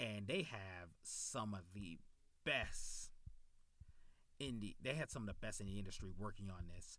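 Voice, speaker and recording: A man with long, frequent pauses, in audible room echo. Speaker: YouTube anime reviewer. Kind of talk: casual video review. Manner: halting, stumbles over words; enthusiastic.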